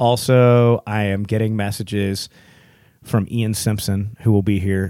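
A man with an American accent speaks at a fairly slow pace in a fairly low, dark, mellow tone with fairly even intonation. The recording is very clean, with a silent background. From Texas. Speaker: podcast host.

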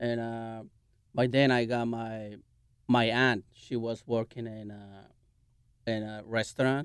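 In a Mexican accent, a man speaks at a very slow pace and medium pitch, with monotone, flat intonation, big swings in loudness and long, frequent pauses against a quiet background. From Mexico. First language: Spanish. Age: 40s. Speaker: chef and restaurant owner. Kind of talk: interview. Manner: halting.

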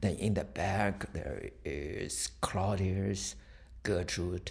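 A man speaks with a Chinese accent and a very deep, low pitch. Vocal fry runs through his voice. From China. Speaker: professor. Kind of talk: interview. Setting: studio. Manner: halting.

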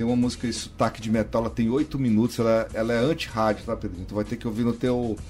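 Over music in the background, a man talks very fast at a medium pitch, with fairly even intonation and hardly any pauses. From Piauí (Valença), raised mostly in São Luís, Maranhão. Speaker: rock musician. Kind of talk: radio interview.

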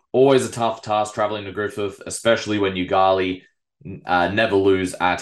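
The speaker is a man with an Australian accent. His pitch sits fairly low. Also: quiet background. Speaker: local football podcast host. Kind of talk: sports review podcast.

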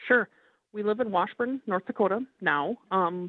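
A woman with a Minnesota accent speaks at a fairly slow pace. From Minneapolis, Minnesota. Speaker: mother and angler. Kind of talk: casual interview.

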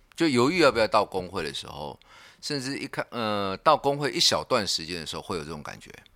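A man with vocal fry and a bright, sharp tone talks at a very fast pace in a medium pitch, with very wide pitch swings and big swings in loudness. The sound is dry and close with no echo, on a very clean recording with a silent background. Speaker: union secretary. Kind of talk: casual chat.

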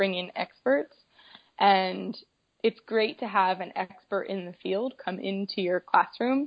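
This woman has an ordinary speaking voice at a medium pitch. She speaks with a General American accent. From Colorado. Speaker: kindergarten teacher. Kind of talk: casual interview.

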